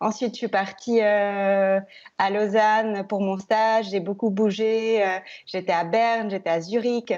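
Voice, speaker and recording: A woman with a medium pitch speaks at a very slow pace, her intonation monotone and flat and her loudness very even. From Switzerland, Biel/Bienne (French-speaking). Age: 30s. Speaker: TV news presenter. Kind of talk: interview. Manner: hesitant, many fillers.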